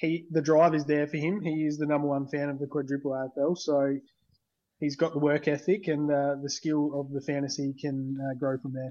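A man speaks at a moderate pace with a fairly high pitch. His intonation is monotone and flat, and the background is quiet. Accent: Australian. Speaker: fantasy league coach. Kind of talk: interview.

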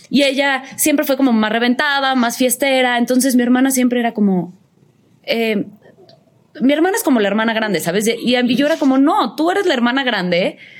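Against noticeable background noise, a woman with a high pitch talks at a fairly quick pace, her intonation lively and her loudness very even. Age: 30s. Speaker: actress. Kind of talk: casual chat.

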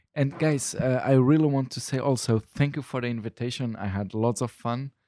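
A man's dark, mellow voice at a medium pitch, moderate pace and ordinary pitch variation, in a dry, close sound with no echo and a very clean recording with a silent background. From Luxembourg, Portuguese family. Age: 30s. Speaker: stand-up comedian. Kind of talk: casual chat. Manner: halting.

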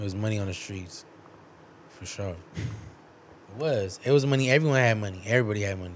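A man talks at a fairly quick pace with ordinary pitch variation. His loudness swings widely, and the room echo is audible. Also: fairly low pitch for a man. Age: 30s. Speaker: friend of the host. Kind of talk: casual chat.

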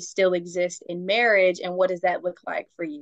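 A woman at a medium pitch and a fairly quick pace, an unremarkable speaking voice. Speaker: podcast host. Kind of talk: casual chat.

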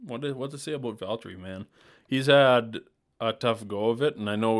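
A man speaks in a normal speaking voice with a Canadian accent, at medium pitch and a moderate pace, with ordinary pitch variation, on a very clean recording with a silent background. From Canadian Prairies. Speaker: podcast co-host, architectural technologist. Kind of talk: casual chat.

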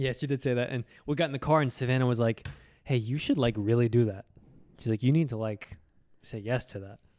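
The man's voice has a dark, mellow tone. He talks at a very fast pace. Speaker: podcast co-host. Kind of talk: casual chat. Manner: stutters.

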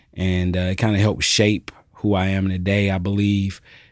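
Very deep and low, a man's voice holds a monotone, flat intonation at a moderate pace in a very clean recording with a silent background. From US South, Georgia (Alpharetta). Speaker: nonprofit executive director and podcast host. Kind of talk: interview testimony. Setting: studio.

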